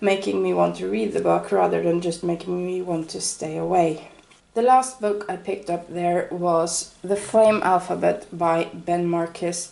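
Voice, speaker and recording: Fairly slow, fairly low-pitched female speech with ordinary pitch variation, amid noticeable background noise. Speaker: book reviewer. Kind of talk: casual book haul talk.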